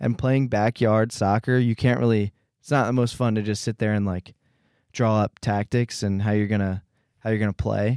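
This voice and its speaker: A man with an ordinary speaking voice and fairly low pitch talks at a moderate pace with fairly even intonation, recorded very clean, dry and close, with no echo and a silent background. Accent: American. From Philadelphia. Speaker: college student podcast co-host. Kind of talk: casual chat.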